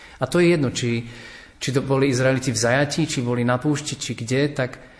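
Over noticeable background noise, a man speaks at a moderate pace with a medium pitch and monotone, flat intonation. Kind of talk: radio panel discussion.

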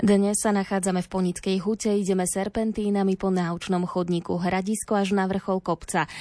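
A woman speaks at a moderate pace in a dark, mellow tone, with monotone, flat intonation and hardly any pauses. Her loudness stays very even against a quiet background. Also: medium pitch for a woman. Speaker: radio reporter and host. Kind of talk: radio report narration. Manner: formal.

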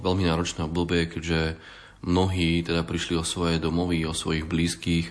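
At a moderate pace, a man speaks in a very deep, low pitch. His intonation is monotone and flat, and his loudness stays very even. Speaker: charity coordinator. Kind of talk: interview.

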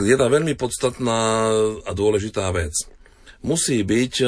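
A man speaks against a quiet background. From eastern Slovakia. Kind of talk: radio interview. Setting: studio.

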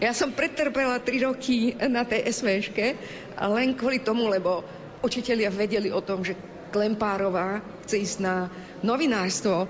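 Noticeable background noise runs under this recording. A woman speaks at a fairly high pitch with ordinary pitch variation. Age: 60s. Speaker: Roma education activist. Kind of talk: interview.

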